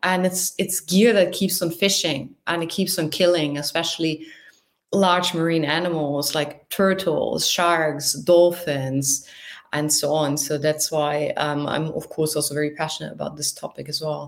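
A woman with a German accent speaks at a very deep, low pitch. Her pace is moderate and her intonation fairly even. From northern Germany. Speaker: marine researcher. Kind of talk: casual interview.

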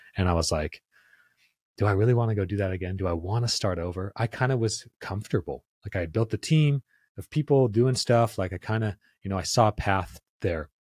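This man speaks fairly quickly in a fairly low, somewhat breathy voice with ordinary pitch variation, on a very clean recording with a silent background. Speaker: podcast host, marketer. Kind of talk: casual chat.

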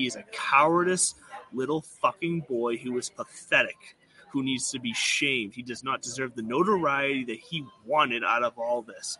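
At a moderate pace, a man speaks in a medium pitch with ordinary pitch variation over noticeable background noise. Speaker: podcast host. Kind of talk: casual banter about golf betting.

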